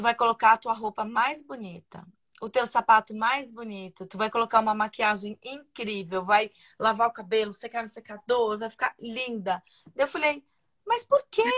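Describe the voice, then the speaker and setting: A woman's unremarkable speaking voice, fairly high, at a moderate pace with fairly even intonation and big swings in loudness. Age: 40s. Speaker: live stream host. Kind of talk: casual chat.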